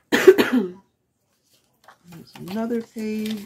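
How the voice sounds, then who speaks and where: This woman is soft-spoken. She keeps her voice soft as she talks. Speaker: crafting YouTuber. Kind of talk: tutorial. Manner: halting, talking to herself.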